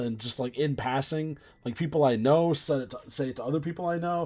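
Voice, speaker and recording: Over music in the background, a man speaks at a fairly quick pace, his fairly high pitch showing ordinary variation. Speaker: video game streamer. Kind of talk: casual chat. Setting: live stream.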